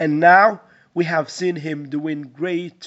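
A man with a Moroccan accent speaks at a fairly slow pace with a fairly high pitch and fairly even intonation. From Morocco. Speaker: sports reporter and analyst. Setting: remote call.

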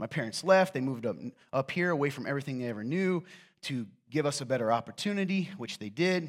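A man with a fairly high pitch talks very fast with lively intonation. The recording is very clean, with a silent background. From US South, coal mining region; raised in northern Indiana. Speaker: pastor. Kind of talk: sermon. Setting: church with audience. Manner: casual, joking.

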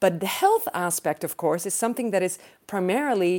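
On a very clean recording with a silent background, a woman with a Dutch accent speaks in a dark, mellow tone with lively intonation. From Netherlands. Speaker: political science professor. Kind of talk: panel discussion.

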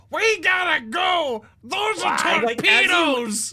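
In a put-on character voice, the speaker shouts at an extremely high pitch and a very slow pace. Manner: urgent, shouting.

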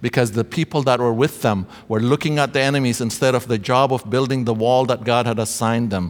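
The speech runs at a very fast pace with hardly any pauses, fairly even intonation and very even loudness. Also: man, medium pitch for a man. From Ethiopia. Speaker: chapel speaker. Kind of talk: sermon. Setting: chapel service with congregation.

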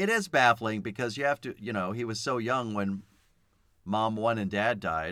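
On a very clean recording with a silent background, a man at medium pitch speaks with a bright, sharp tone. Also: ordinary pitch variation, moderate pace. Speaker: podcast host discussing films. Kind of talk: casual chat. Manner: gentler tone when promoting the podcast.

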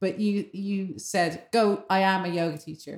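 A woman speaks at a medium pitch in a dark, mellow tone with fairly even intonation. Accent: Dublin. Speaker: podcast host. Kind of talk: casual chat.

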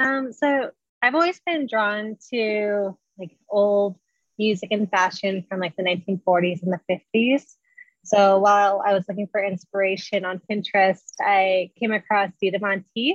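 Woman's medium-pitched voice at a fairly slow pace with ordinary pitch variation, in a dry, close sound with no echo. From Northern California. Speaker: burlesque dancer. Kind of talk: casual interview. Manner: soft-spoken.

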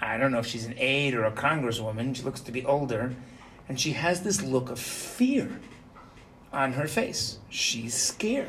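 Audible room echo carries the speech, which has a moderate pace and ordinary pitch variation. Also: man, medium pitch for a man. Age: 50s. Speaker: yeshiva rabbi teaching Torah portion. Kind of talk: Torah class. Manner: animated.

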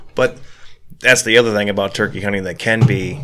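Speaking at a moderate pace with a medium pitch and ordinary pitch variation, a man talks over noticeable background noise. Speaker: podcast host. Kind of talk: casual chat. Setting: studio.

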